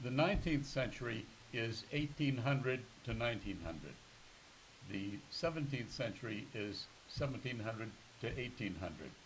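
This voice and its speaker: A man with a New England accent speaks at a moderate pace with lively intonation and long, frequent pauses, against noticeable background noise and audible room echo. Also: medium pitch for a man. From Massachusetts, Newton. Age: 80s+. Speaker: retired museum curator. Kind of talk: interview.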